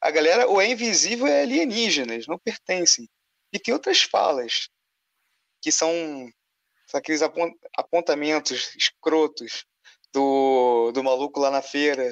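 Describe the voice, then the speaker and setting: Speaking at a fairly slow pace with long, frequent pauses, a man with a Carioca accent uses lively intonation in a fairly high voice. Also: dry, close sound with no echo. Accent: carioca Brazilian Portuguese. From Rio de Janeiro (suburbs, north zone). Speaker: film critic and advertising illustrator. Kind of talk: casual chat.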